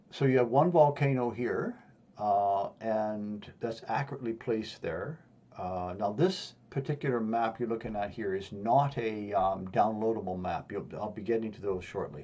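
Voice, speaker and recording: Over a quiet background, a man with a Western Canadian accent talks at a moderate pace in a medium pitch, with a dark, mellow tone and ordinary pitch variation. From Western Canada. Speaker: YouTuber explaining pole-shift safe locations. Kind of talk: map tutorial monologue. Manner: halting, many fillers.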